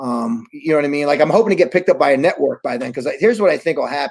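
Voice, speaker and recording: The speaker has an American accent and ordinary pitch variation, set against a quiet background. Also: man. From New York. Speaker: wrestling promoter; interviewee. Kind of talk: casual interview. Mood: proud, enthusiastic. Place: home room. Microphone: video call.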